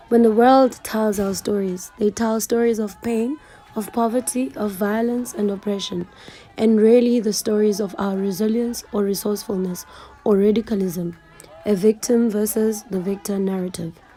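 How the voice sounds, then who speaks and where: A woman talks at a moderate tempo, her pitch fairly high and her intonation fairly even, while noticeable background noise carries on behind her. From South Africa, Eastern Cape (Mthatha). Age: 20s. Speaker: YouTuber. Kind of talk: scripted narration.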